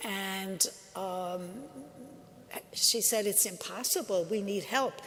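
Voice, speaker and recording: There is audible room echo and noticeable background noise. A woman speaks very slowly at a medium pitch with fairly even intonation. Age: 80s+. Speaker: religious sister and speaker. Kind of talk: talk to a church audience. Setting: church with live audience. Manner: conversational, with fillers and restarts.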